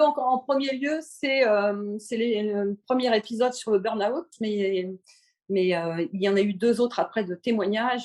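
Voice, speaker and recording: A woman's fairly high voice moves with lively intonation, and she takes a fairly slow pace. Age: 60s. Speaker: podcast listener, retiree. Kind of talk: casual interview. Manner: halting, many hesitations.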